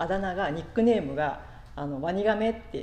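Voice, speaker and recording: A woman talks at a fairly slow pace with a fairly low pitch and lively intonation. Audible room echo surrounds her voice. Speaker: pastor. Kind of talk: sermon. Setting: church. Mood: warm, reflective, light humor.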